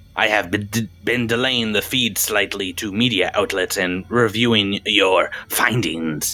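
Over background music, a man does a put-on character voice, fairly low and fairly even in intonation, at a fairly slow pace with hardly any pauses. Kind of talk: bureaucratic formality. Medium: actual play. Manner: formal, stiff, archaic phrasing.

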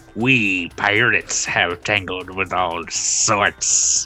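Someone in a put-on character voice speaks very slowly at a low pitch. Clear music plays in the background. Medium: actual play. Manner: slow, repetitive, over-explaining.

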